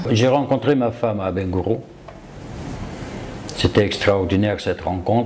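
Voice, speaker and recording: Against noticeable background noise, a man talks at a moderate pace in a fairly low pitch with ordinary pitch variation. He leaves long, frequent pauses. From Ivory Coast. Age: 60s. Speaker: self-taught property developer. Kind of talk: interview.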